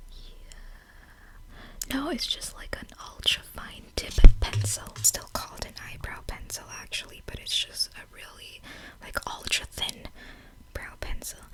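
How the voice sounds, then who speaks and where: A woman whispering at a fairly slow pace, with long, frequent pauses, big swings in loudness, and noticeable background noise. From Filipino Canadian. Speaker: ASMR vlogger / beauty and lifestyle creator. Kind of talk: ASMR makeup haul and unboxing, casual talk to camera. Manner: friendly, conversational.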